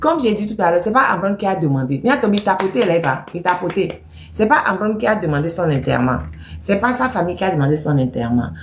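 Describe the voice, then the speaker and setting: This woman talks very fast with very wide pitch swings. Her tone is animated, and her loudness stays very even. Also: medium pitch for a woman. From Togo. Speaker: political activist commentator. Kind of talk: political commentary monologue. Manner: animated, emphatic.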